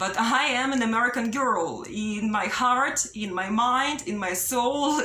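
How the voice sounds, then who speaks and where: Over noticeable background noise, a woman speaks with a fairly high pitch and ordinary pitch variation. Audible room echo is present. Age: 30s. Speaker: vlogger. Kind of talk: personal video monologue, unscripted. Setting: self-recorded on camera. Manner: halting, repetitive with fillers.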